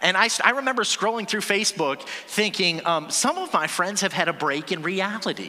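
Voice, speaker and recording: A man's raised, projected voice, high in pitch and animated in tone, at a moderate pace amid noticeable background noise. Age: 40s. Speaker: pastor. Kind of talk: sermon. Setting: church.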